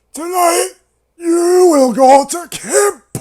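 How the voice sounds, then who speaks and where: Someone does a put-on character voice at an extremely high pitch. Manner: menacing.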